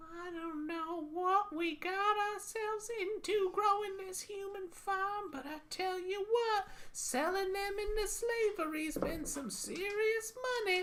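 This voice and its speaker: Speaking in a squeaky put-on character voice at a fairly slow pace, the speaker shows big swings in loudness over clear background noise. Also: woman, extremely high pitch for a woman. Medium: solo performance. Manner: folksy, fretful.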